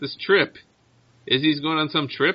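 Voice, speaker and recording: Putting on a gruff character voice, a man speaks with a fairly high pitch. His pace is moderate. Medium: actual play. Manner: blunt, gruff.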